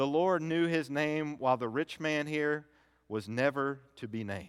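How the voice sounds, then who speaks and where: A man talks at a fairly slow pace with lively intonation. He has an ordinary speaking voice. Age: 30s. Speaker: pastor. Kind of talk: sermon. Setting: church.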